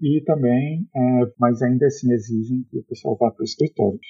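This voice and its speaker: A man with a medium pitch and ordinary pitch variation talks at a fairly quick pace. His voice is somewhat breathy. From Brazil, Fortaleza. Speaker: software developer. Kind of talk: casual interview. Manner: halting, many fillers.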